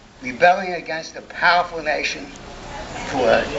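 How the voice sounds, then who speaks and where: The man's voice sits high in pitch. The recording has audible room echo and noticeable background noise. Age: 90s. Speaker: speaker at a memorial event. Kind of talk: speech to an audience. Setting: gathering with live audience. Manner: halting.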